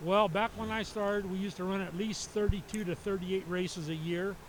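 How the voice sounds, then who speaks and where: This man has a high pitch and an American accent. His intonation stays fairly even at a moderate pace. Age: 70s. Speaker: race car driver. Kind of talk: trackside interview. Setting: racetrack. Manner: halting.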